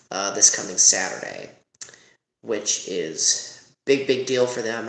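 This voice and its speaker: A man is heard with audible room echo. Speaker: YouTube marching band reviewer. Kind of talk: casual review commentary. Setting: college dorm room at night. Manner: soft-spoken; hesitant, many fillers.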